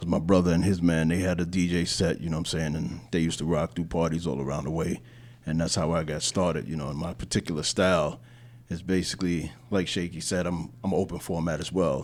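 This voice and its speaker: Talking very fast with a New York accent, a man uses a very deep, low pitch, vocal fry and fairly even intonation. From Queens, New York. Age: 50s. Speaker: DJ. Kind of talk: casual roundtable chat.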